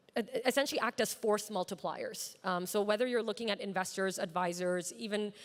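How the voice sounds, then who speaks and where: A woman with an American accent, medium-pitched and fairly quick. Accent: American-sounding. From Pakistan. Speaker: startup founder. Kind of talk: panel discussion. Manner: halting, many fillers.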